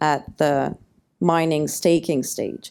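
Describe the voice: A woman speaks at a slow pace with little pitch movement. Her tone is clear, smooth and slightly mellow.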